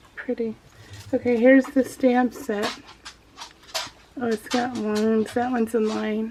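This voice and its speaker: A woman with a high-pitched voice speaks in a flat monotone, with long, frequent pauses and noticeable background noise. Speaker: craft video creator. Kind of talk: unboxing video. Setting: home office. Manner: halting.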